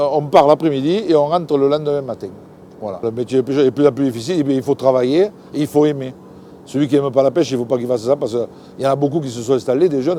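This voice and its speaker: A man speaks at a very fast pace with ordinary pitch variation. Noticeable background noise can be heard. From southern France. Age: 60s. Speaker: fisherman. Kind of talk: interview answer. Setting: outdoors. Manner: enthusiastic, lively.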